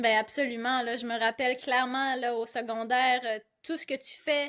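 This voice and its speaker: A woman's high-pitched, monotone voice at a moderate pace over a quiet background, flat in intonation. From Gaspésie, Quebec (Carleton/Bonaventure area). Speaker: comedic content creator. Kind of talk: casual interview chat.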